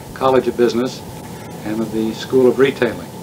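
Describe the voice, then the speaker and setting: There is noticeable background noise. A man speaks with fairly even intonation. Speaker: oral history interviewer. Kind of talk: formal interview questions. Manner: formal, courteous. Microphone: old recording.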